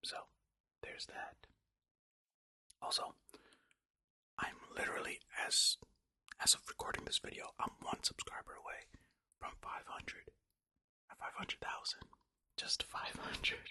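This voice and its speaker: A man whispering at a moderate pace with long, frequent pauses, in a dry, close sound with no echo. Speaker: ASMR creator. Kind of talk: ASMR reading facts. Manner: soft-spoken.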